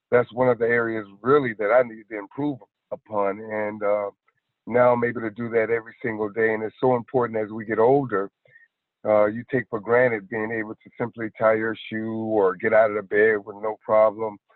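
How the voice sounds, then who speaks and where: Speaking at a fairly quick pace, a man keeps a monotone, flat intonation while his loudness swings widely. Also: medium pitch for a man. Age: 50s. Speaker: fitness trainer. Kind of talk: interview.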